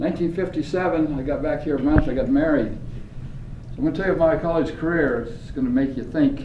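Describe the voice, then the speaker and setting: With audible room echo, a man in an American accent speaks at a moderate pace. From US West, rural Idaho. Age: 80s+. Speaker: business owner and speaker. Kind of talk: speech to a class. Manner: animated.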